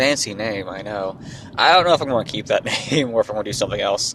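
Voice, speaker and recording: Through noticeable background noise, a man's medium-pitched voice can be heard. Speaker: podcast host. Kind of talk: casual chat. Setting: in a car.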